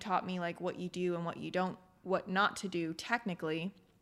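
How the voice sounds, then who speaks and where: Her pace is moderate. This woman has a normal speaking voice. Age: 20s. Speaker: filmmaker. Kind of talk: interview.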